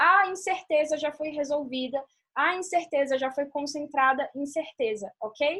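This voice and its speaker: Ordinary pitch variation marks this speech, delivered at a moderate pace. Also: woman. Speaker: law teacher. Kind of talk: online lecture.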